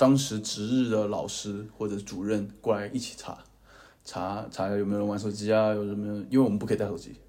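In a room with audible echo, a man talks at a fairly quick pace, his dark, mellow voice fairly low and fairly even in intonation. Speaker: podcast co-host, university student. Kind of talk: casual chat.

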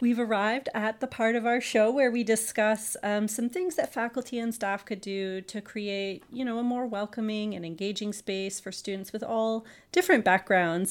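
A woman with medium pitch has a plain, everyday voice, with ordinary pitch variation. She speaks at a moderate pace in a very clean recording with a silent background. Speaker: podcast host and university internationalization specialist. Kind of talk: casual interview. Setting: studio.

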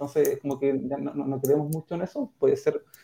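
A man is speaking. His tone is dark and mellow. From Valdivia, southern Chile. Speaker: fintech company co-founder. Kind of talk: interview.

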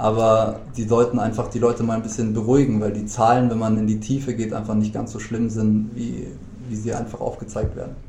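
A man speaks fairly quickly in a medium pitch with flat, monotone intonation. Room echo is audible, and there is noticeable background noise. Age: 30s. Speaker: podcast guest, gym-goer friend of host. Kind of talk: casual chat. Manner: halting, many fillers.

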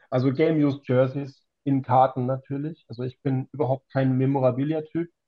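This man's voice has a medium pitch. He delivers his words in a monotone, flat way. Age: 40s. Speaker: trading card collector. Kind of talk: casual chat.

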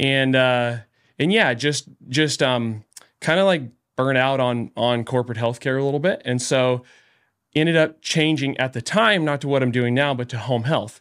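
A man with an American accent speaks at medium pitch and a moderate pace, in an unremarkable speaking voice. His pitch varies in an ordinary way, and the recording is very clean with a silent background. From Northern California (Trinity County, Redding). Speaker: physical therapist and business owner. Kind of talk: casual interview.

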